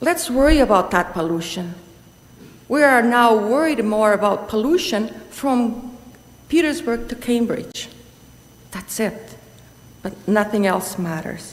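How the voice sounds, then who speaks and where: The speaker talks at a fairly slow pace with lively intonation and long, frequent pauses, and the room echo is audible. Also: woman, fairly high pitch for a woman. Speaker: delegation speaker at council meeting. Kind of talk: public delegation statement.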